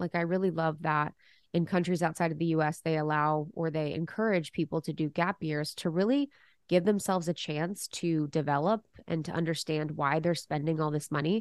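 In a quiet background with a dry, close sound and no echo, a woman with an American accent uses a normal speaking voice, fairly low in pitch and fairly even in intonation, at a fairly quick pace. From Ohio, US Midwest. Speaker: podcast host. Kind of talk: interview.

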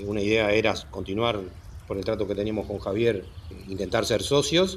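A man speaks at a fairly quick pace with a fairly low pitch. His voice is somewhat breathy. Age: 60s. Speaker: dairy farm director. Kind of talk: interview.

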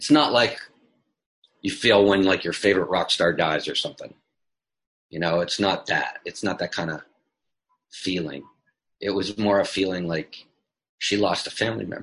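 With a Canadian accent, a man speaks at a moderate pace in a fairly low voice. His pitch moves in an ordinary way, and he leaves long, frequent pauses. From Canada, Toronto. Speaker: filmmaker. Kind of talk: casual chat.

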